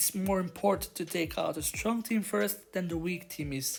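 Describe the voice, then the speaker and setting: Music plays in the background as a woman with a non-native accent speaks. Her pace is moderate and her pitch fairly low. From Belgium. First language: not English. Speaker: gaming youtuber. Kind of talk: gameplay commentary.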